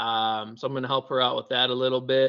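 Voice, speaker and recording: A man speaks in an ordinary speaking voice at medium pitch, with an American accent and a moderate pace. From Wisconsin. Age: 20s. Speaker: amateur ultramarathon runner. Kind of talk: casual interview.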